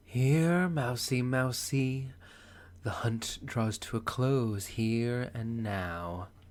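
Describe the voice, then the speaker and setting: A put-on character voice at a low-to-middle pitch, delivered at a very slow pace. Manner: menacing, taunting.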